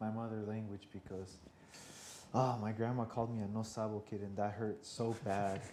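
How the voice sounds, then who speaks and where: A man with a dark, mellow tone speaks at a moderate pace in a monotone, flat intonation, with audible room echo. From US, Mexican-American Spanish-speaking household. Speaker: bilingual guest. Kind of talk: casual chat. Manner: halting.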